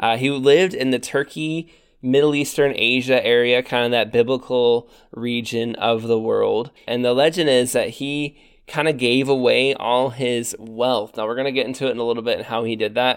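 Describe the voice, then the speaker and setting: A man with a normal speaking voice and a medium pitch talks at a moderate pace with fairly even intonation. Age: 30s. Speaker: podcast host, church history. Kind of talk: casual chat.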